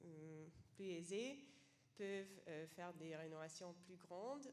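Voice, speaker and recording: A woman with a non-native accent speaks at a very slow pace, with ordinary pitch variation. Noticeable background noise and audible room echo surround her voice. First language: not French (speaking French). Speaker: seminar participant, homelessness sector worker. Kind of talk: question from the floor at a seminar. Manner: halting, many hesitations.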